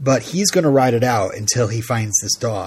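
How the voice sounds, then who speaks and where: This is a man's voice. It sounds somewhat breathy. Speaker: podcast host. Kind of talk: casual chat.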